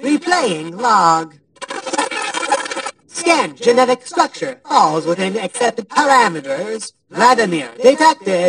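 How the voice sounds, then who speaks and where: This is a put-on character voice with a fairly high pitch. It moves at a fairly slow pace, with very wide pitch swings. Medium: actual play.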